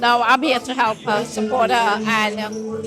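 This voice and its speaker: The voice moves at a moderate pace with music in the background. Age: 60s. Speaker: coffee business owner. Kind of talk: casual interview.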